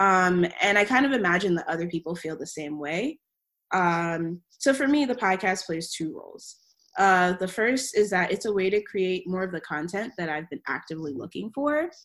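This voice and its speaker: Speaking with an American accent, a woman uses a normal speaking voice at a medium pitch, moderate pace and lively intonation. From Maryland, US. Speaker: podcast co-host, PhD student. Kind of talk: casual chat.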